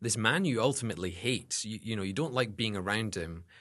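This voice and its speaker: Over a quiet background, a man with a Scottish accent speaks at a very fast pace and medium pitch, his bright, sharp tone carrying lively intonation. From Scotland. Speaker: seminary student and academic advisor. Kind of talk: interview, personal testimony.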